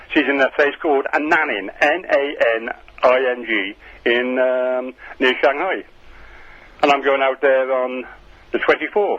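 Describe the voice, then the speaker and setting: Noticeable background noise fills the gaps as a man talks with long, frequent pauses. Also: medium pitch for a man, ordinary pitch variation, fairly slow pace. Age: 70s. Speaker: caller. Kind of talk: radio phone-in.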